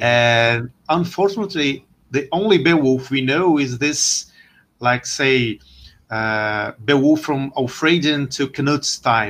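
Against a quiet background, a man with a Portuguese accent speaks at a very slow pace, fairly high in pitch for a man, with ordinary pitch variation. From Brazil. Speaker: historian and lecturer. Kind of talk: casual interview. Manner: halting.

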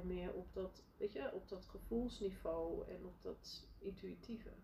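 A woman speaking at a fairly slow pace. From Netherlands, Friesland (village). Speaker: leadership coach and entrepreneur. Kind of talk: interview, casual conversation. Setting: podcast. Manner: hesitant, many fillers.

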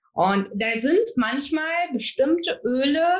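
High-pitched woman's voice with very wide pitch swings. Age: 40s. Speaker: naturopath for psychotherapy and author. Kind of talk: casual chat.

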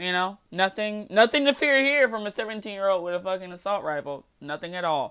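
A woman talks at a fairly quick pace in a plain, everyday voice, with medium pitch and lively intonation. There are hardly any pauses, and the recording is very clean with a silent background. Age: 20s. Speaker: podcast host. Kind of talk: solo commentary monologue. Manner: casual, laughing often.

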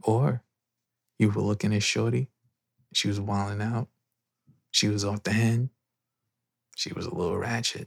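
Using an American accent, a man with a fairly low pitch and ordinary pitch variation talks at a moderate pace with long, frequent pauses, his sound dry and close with no echo. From New York. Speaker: podcast host. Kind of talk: casual chat. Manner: whispering.

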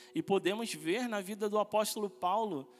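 At a fairly slow pace, a man speaks with music in the background. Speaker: pastoral trainee preaching. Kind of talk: sermon, preaching a Bible study message to a congregation. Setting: church. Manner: earnest, fervent preacher's delivery, rising with conviction and ending in praise.

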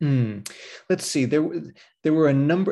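Over a quiet background, a man with an American accent speaks with lively intonation and a dark, mellow tone. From Pasadena, California. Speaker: history professor and author. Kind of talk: interview.

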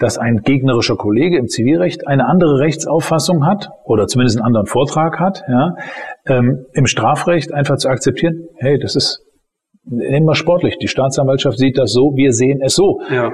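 A man talks in a plain, everyday voice at a fairly high pitch and a moderate pace. His pitch varies in an ordinary way, and his loudness is very even. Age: 40s. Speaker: criminal defense lawyer. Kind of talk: interview. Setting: office.

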